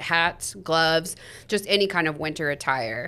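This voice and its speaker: The speaker has a Midwestern US accent. The pace is moderate, with ordinary pitch variation. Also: woman. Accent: US Midwest. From Kansas (Topeka). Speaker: school district communications podcast co-host. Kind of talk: casual chat.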